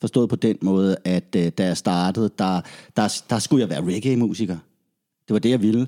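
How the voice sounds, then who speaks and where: In a very clean recording with a silent background, a man with a fairly low pitch and a dark, mellow tone sounds dry and close, with no echo. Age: 40s. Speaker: reggae musician. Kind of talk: casual chat.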